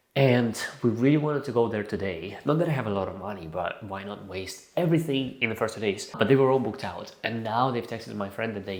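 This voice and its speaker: A man talks at a very fast pace with hardly any pauses, his medium-pitched voice animated and his intonation lively. Audible room echo surrounds him. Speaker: vlogger. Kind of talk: casual vlog talk.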